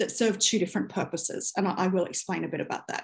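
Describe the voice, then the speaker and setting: This woman speaks at a very fast pace, her voice somewhat breathy. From New Zealand, Rotorua. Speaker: government human rights advisor. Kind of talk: presentation.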